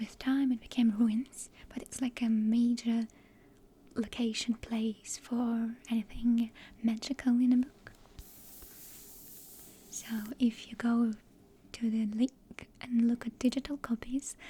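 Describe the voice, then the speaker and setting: A woman's fairly high, dark and mellow voice, monotone and flat, at a very slow pace with long, frequent pauses. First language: Russian. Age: 20s. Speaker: published author. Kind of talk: ASMR rambling. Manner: soft-spoken.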